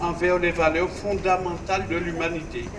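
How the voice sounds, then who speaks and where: This man's voice sits high in pitch and moves at a fairly slow pace. Noticeable background noise runs under the recording. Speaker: speaker. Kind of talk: formal commemorative speech. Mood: solemn, measured. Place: street. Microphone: podium.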